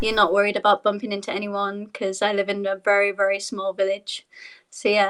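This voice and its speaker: A woman with a British accent, medium pitch, flat monotone intonation and a fairly quick pace, in a dry, close recording with no echo. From Yorkshire, northern England. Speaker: dancer. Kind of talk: casual chat.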